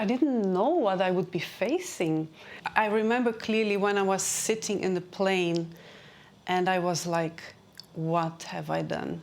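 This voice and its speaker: A woman with a Portuguese accent, medium pitch, ordinary pitch variation and a moderate pace. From Brazil. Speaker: career and transition strategist. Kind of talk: interview.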